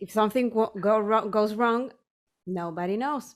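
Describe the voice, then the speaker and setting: Fairly even intonation from a woman with a Spanish accent, her pitch fairly high. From Chile, small town. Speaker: electronic music producer and singer. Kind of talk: interview. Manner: halting, many repetitions.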